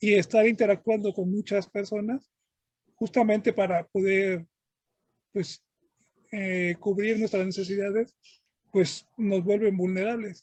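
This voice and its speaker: The speaker moves at a fairly slow pace, leaving long, frequent pauses. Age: 40s. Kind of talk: interview. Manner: halting.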